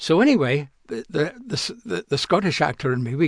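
A man's somewhat breathy voice at a moderate pace, dry and close with no echo. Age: 70s. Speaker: actor. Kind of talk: interview. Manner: halting.

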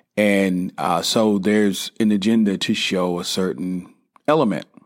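A man with a Southern US accent speaks at a fairly low pitch. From US South, South Carolina. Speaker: podcast host. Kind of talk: casual monologue.

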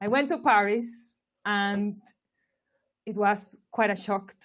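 Speaking very slowly, a woman with a Spanish accent uses a medium pitch. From Colombia, Barranquilla. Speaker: marketing expert. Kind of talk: interview.

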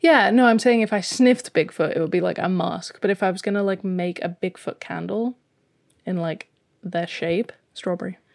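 On a very clean recording with a silent background, a woman uses a plain, everyday voice at medium pitch, moderate pace and ordinary pitch variation, sounding dry and close with no echo. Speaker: podcast host. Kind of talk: casual chat.

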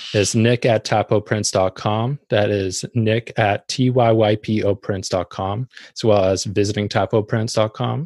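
Against a quiet background, a man with an American accent speaks at a fairly slow pace in a fairly low pitch, with fairly even intonation and a dry, close sound with no echo. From US Pacific Northwest (Tacoma, Washington). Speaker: graphic designer and podcast host. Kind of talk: interview. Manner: halting, with fillers.

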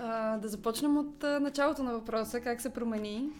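A woman with an unremarkable speaking voice keeps a moderate pace, her pitch varying in an ordinary way. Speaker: actress. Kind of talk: interview.

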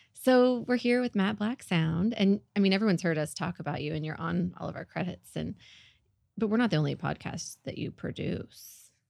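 A woman with a Southern US accent speaks with lively intonation against a quiet background. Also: medium pitch for a woman, fairly quick pace. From Northwest Oklahoma. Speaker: podcast host. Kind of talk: casual interview.

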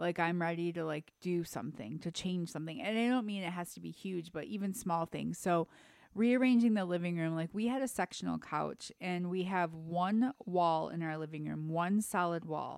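A woman with an ordinary speaking voice and a fairly low pitch speaks at a moderate pace with hardly any pauses. Her pitch variation is ordinary, and the recording is very clean with a silent background. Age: 40s. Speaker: podcast co-host. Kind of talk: casual chat.

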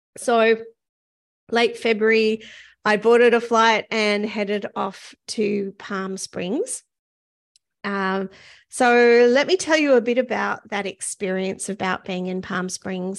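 A woman speaks at a fairly slow pace with a New Zealand accent. Her intonation stays fairly even. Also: quiet background. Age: 50s. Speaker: podcast host. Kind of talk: solo podcast monologue. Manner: casual, with frequent fillers.

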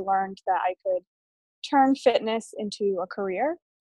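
A normal speaking voice with an American accent moves at a moderate pace with ordinary pitch variation, in a dry, close sound with no echo. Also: woman. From Massachusetts, Framingham (Boston area). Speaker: fitness trainer and powerlifter. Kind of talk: casual interview.

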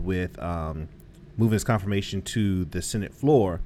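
A man talks in a normal speaking voice, pitched fairly low. His pace is moderate and his pitch variation ordinary. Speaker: podcast co-host. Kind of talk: casual chat.

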